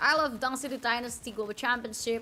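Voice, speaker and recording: The speaker is a woman. She talks with an Indonesian accent. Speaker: esports caster and streamer. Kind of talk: live commentary. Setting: live stream. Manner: halting.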